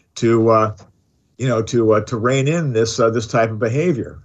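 With a plain, everyday voice, a man talks at a medium pitch and varies it normally. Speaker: radio host. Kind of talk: talk radio discussion. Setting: studio.

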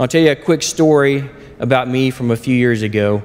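This man talks with an Oklahoma accent. His pace is fairly quick, and his intonation is fairly even. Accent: Oklahoma US Southern. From southern Oklahoma. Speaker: lay preacher. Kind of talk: sermon. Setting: church.

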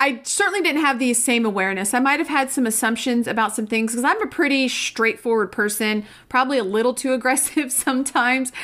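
The tone is bright and sharp, with ordinary pitch variation. The delivery is very fast, with hardly any pauses. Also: woman, high pitch for a woman. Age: 40s. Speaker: pharmacist and pharmacy business consultant. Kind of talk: casual interview.

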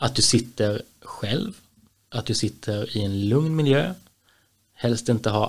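A man talks at a very slow pace in a medium pitch. His voice is somewhat breathy, with lively intonation. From Småland, Sweden. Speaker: municipal employment project leader. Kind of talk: casual interview.

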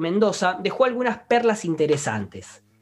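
A man with a Rioplatense accent speaks at a moderate pace with lively intonation. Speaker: podcast co-host. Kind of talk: casual chat. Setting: studio.

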